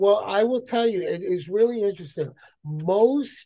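At a fairly slow pace, a man with an American accent speaks in a dark, mellow tone with lively intonation. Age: 60s. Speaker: guest, father, baseball fan. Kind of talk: casual chat.

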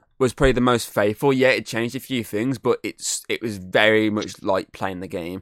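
Recorded very cleanly against a silent background, a man with a normal speaking voice talks fairly quickly at a medium pitch, the sound dry and close with no echo. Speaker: podcast host. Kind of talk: casual banter, gaming chat. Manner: profane, joking, laughing.

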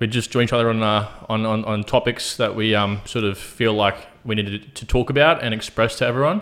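Barely pausing, a man with an unremarkable speaking voice moves at a fairly quick pace, his medium pitch staying fairly even. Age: 20s. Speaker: podcast co-host. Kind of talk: casual chat.

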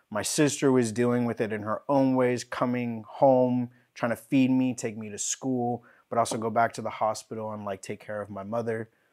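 A man speaks at a medium pitch in a flat monotone. His loudness swings widely. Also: moderate pace. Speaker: guest sharing mental health story. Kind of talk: personal testimony in casual conversation.

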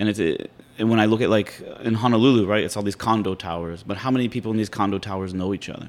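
Speaking at a very fast pace, a man uses an American accent. His pitch is fairly low and his intonation fairly even. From Pittsburgh, Pennsylvania. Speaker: podcast host. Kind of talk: interview. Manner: casual.

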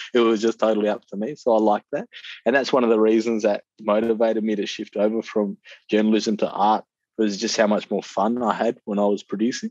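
This man talks at a fairly quick pace in a fairly low voice with an Australian accent. His intonation stays monotone and flat. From Perth, Western Australia. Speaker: visual artist. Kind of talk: interview.

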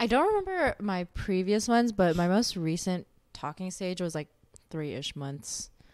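The speaker uses lively intonation at a moderate pace in an unremarkable speaking voice. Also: woman, medium pitch for a woman. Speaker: guest. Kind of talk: casual chat.

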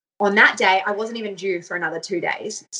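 With an Australian accent, a woman talks at a very fast pace in a medium pitch. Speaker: mother sharing birth story. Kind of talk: personal storytelling interview.

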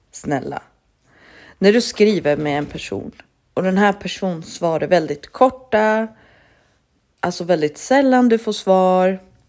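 On a very clean recording with a silent background, a woman at a medium pitch speaks in an animated tone with lively intonation, moving at a fairly slow pace with long, frequent pauses. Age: 30s. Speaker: solo podcast host. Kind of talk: casual monologue.

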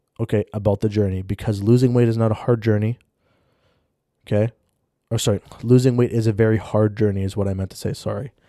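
Talking at a very fast pace yet with long, frequent pauses, a man keeps a fairly low pitch and monotone, flat intonation. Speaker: fitness podcast host. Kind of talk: solo monologue podcast. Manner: halting, many fillers and restarts.

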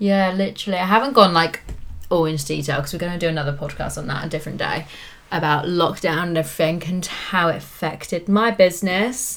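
At a very fast pace, a woman speaks in a southern English accent at a fairly low pitch. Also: ordinary pitch variation. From England, Cambridge. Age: 20s. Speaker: lash technician and business owner. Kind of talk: casual chat. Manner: animated, frequent laughter.

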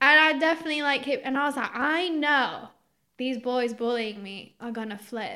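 A woman's raised, projected voice, high-pitched and bright and sharp, at a moderate pace with ordinary pitch variation and big swings in loudness. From Greece. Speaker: marketing professional. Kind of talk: casual chat.

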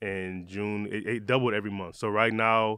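A man with an American accent speaks in a monotone, flat way at a fairly low pitch. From Michigan, Detroit. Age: 30s. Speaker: eyewear brand founder. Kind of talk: interview. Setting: studio.

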